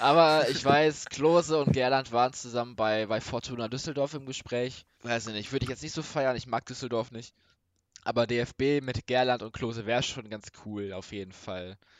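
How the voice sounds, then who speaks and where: A man at a moderate pace with ordinary pitch variation and big swings in loudness, an unremarkable speaking voice. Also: medium pitch for a man. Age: young. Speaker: football podcast co-host. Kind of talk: casual chat.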